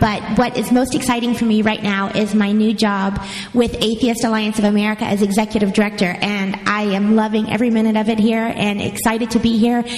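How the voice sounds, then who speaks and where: Noticeable background noise sits behind a woman's voice. She speaks in a monotone with flat intonation. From Kentucky, Louisville. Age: 40s. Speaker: nonprofit executive director. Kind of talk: panel podcast chat. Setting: live audience at hotel convention.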